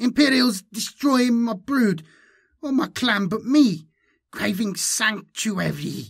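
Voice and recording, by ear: A man in a put-on character voice speaks slowly at a high pitch, sounding strained, with vocal fry, a slightly husky edge, and hissing. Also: ordinary pitch variation, very clean recording, silent background.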